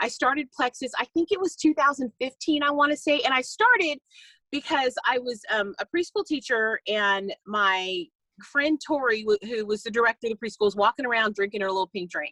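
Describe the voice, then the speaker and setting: A woman speaks at a fairly quick pace in a high, bright, sharp voice with an animated tone and very wide pitch swings, recorded with a dry, close sound and no echo. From California. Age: 50s. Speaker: network marketing distributor. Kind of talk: casual talk on a video call. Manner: fast.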